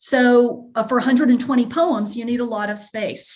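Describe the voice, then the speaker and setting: A woman with a slight Southern US accent talks at a fairly high pitch with ordinary pitch variation. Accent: slight Southern drawl. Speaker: professor. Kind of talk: lecture Q&A. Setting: video call. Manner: halting.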